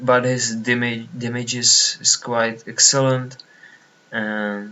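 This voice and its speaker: With a Czech accent, a man speaks at a medium pitch in a monotone, flat intonation. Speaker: online card game player. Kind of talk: gameplay commentary. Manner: halting.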